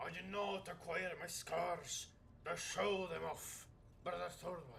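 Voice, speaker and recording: Delivered at a fairly slow pace, a put-on character voice comes through over clear background noise. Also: man, high pitch for a man. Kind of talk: solemn warrior oratory. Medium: game stream. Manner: declaiming, formal.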